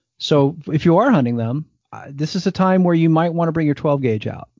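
A man with an American accent speaks in an unremarkable speaking voice at a fairly quick pace with ordinary pitch variation. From US Northeast, New Jersey. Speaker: podcast host, hunter and cook. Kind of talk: casual interview chat.

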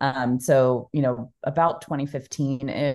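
Over a quiet background, a woman with a Texas accent speaks in a very deep, low voice, dark and mellow in tone, with monotone, flat intonation. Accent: American (Texas). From Texas (Dallas). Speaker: bitcoin nonprofit founder. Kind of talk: interview.

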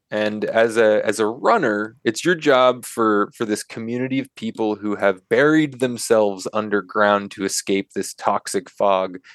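A man with an American accent has an unremarkable speaking voice, fairly low in pitch, with ordinary pitch variation at a moderate pace, and the sound is dry and close with no echo. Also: hardly any pauses. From US Pacific Northwest, Seattle area. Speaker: video game director. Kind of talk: casual interview chat.

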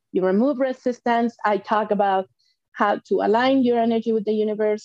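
A woman's fairly high voice has a dark, mellow tone and ordinary pitch variation, heard through a dry, close sound with no echo. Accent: Spanish. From Mexico. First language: Spanish. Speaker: life coach and author. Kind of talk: casual interview.

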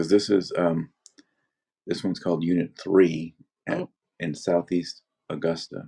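In a dark, mellow tone at a very deep, low pitch, a man speaks at a moderate pace with monotone, flat intonation and long, frequent pauses, the sound dry and close with no echo. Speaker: podcast host. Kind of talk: casual chat.

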